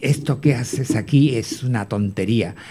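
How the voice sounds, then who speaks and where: A man talks at a very slow pace. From Canary Islands. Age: 60s. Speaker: retired cabaret performer and choreographer. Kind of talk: interview.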